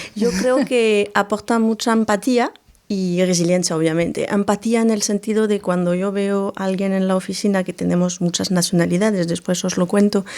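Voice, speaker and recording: The speech runs with hardly any pauses and fairly even intonation. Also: woman, medium pitch for a woman, moderate pace. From France. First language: French (speaking Spanish). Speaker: human resources manager. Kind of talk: podcast interview.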